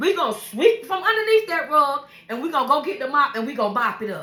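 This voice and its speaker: A woman with high pitch speaks at a very fast pace in a raised, projected voice, her passionate tone marked by very wide pitch swings and big swings in loudness. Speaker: vlogger sharing life stories. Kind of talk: casual monologue. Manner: loud, passionate.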